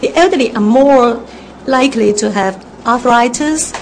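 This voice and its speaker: A woman's high-pitched voice, with ordinary pitch variation, rises over noticeable background noise. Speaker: social service director. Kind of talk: radio interview. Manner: hesitant with fillers.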